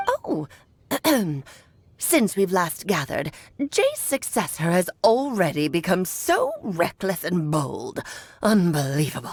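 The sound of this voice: A woman does a put-on character voice at a medium pitch. She talks at a fairly slow pace with long, frequent pauses.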